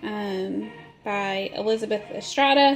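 A woman speaks over music playing in the background. Her pitch rises and falls in an ordinary way. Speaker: vlogger. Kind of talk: casual vlog chat. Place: home room. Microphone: phone near.

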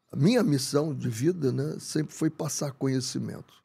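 A man's fairly high, somewhat breathy voice with a dark, mellow tone, at a fairly slow pace. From Brazil, Rio de Janeiro. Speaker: football coach. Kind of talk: interview conversation. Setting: studio. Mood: calm, reflective. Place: studio. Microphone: studio mic.

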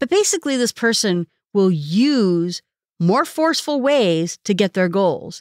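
In an ordinary speaking voice with a fairly high pitch and lively intonation, a woman talks fairly slowly, the sound dry and close with no echo on a very clean recording with a silent background. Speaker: self-improvement podcast host. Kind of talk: solo educational podcast talk.

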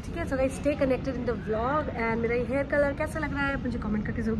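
Loud background noise sits behind a woman's speech. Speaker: travel vlogger. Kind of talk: casual vlog chat. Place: station. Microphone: phone near.

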